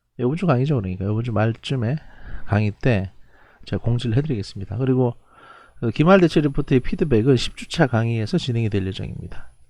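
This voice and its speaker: A man's very fast delivery, dark and mellow in tone, with lively intonation. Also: medium pitch for a man. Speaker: professor. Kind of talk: lecture. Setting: recorded online lecture. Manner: halting.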